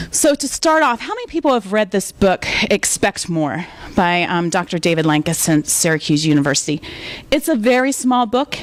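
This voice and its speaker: Loud and with very wide pitch swings, a woman in an American accent speaks at a medium pitch over noticeable background noise. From US South. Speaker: library director, guest speaker. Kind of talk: lecture. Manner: fast.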